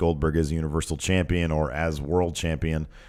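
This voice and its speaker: A man's speech runs at a moderate pace. The background is silent on this very clean recording. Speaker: wrestling podcast co-host. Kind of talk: casual chat.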